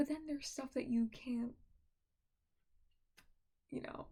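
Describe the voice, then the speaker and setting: A soft-spoken woman with a high pitch, a relaxed tone, ordinary pitch variation and a fairly slow pace. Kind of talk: casual soft-spoken ramble to camera. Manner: soft-spoken, relaxed.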